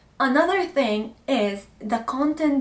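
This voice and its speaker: Noticeable background noise sits behind a woman speaking with an Arabic accent. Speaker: lifestyle content creator. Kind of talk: casual vlog talk to camera.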